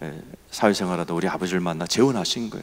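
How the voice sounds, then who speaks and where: This is a man speaking. His intonation is lively. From Seoul, South Korea. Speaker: pastor. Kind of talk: sermon. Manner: animated.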